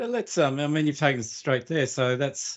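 A man talks in an Australian accent. His pitch variation is ordinary. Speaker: podcast host and producer. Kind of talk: interview conversation. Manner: halting, repeats words.

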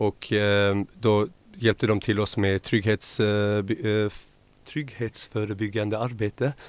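Recorded very cleanly against a silent background, the voice sounds dry and close with no echo, moving at a very slow pace with fairly even intonation. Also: man, fairly low pitch for a man. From Malmö, southern Sweden. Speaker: cultural organizer. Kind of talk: studio interview. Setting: radio studio.

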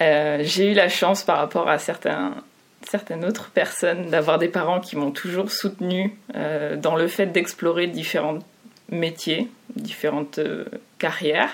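In a fairly low voice with ordinary pitch variation, a woman speaks at a fairly slow pace, leaving long, frequent pauses. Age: 30s. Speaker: UX designer. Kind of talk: interview.

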